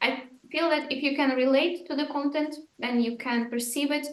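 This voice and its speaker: A woman with a non-native accent speaks at a moderate pace, her pitch varying in an ordinary way. Audible room echo is present. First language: not English. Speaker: podcast host. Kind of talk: podcast interview.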